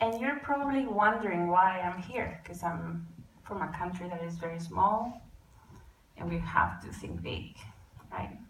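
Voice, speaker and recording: A woman speaks at a fairly slow pace with long, frequent pauses and big swings in loudness. Audible room echo surrounds her voice. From Costa Rica. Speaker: climate and e-mobility advocate. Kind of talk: conference talk.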